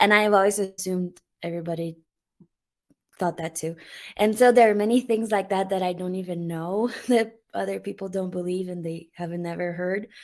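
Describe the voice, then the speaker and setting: A woman talks at a fairly quick pace and medium pitch with a Portuguese accent. Her intonation stays fairly even while her loudness swings widely, on a very clean recording with a silent background. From Brazil. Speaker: YouTuber and mother. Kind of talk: interview testimony. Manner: halting, many fillers.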